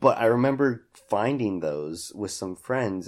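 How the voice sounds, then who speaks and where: A man speaks at a fairly slow pace with ordinary pitch variation. The recording is very clean, with a silent background. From Hutchinson, Kansas. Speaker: podcast host. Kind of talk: casual chat.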